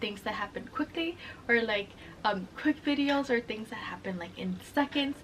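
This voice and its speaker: A woman speaks in a high pitch with a Spanish accent. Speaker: sustainable fashion vlogger. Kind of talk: casual explainer vlog. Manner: casual, chatty; eating while talking.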